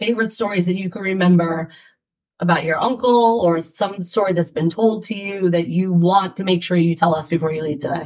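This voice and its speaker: A woman with an unremarkable speaking voice, medium pitch, ordinary pitch variation and a fairly quick pace. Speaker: school podcast moderator. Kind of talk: scripted intro and interview. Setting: studio.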